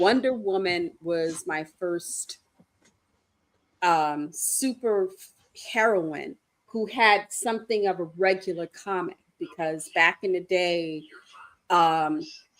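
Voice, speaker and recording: A woman's medium-pitched voice, very slow, with long, frequent pauses and ordinary pitch variation. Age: 60s. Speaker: comic book podcast co-host. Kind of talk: casual chat. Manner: animated.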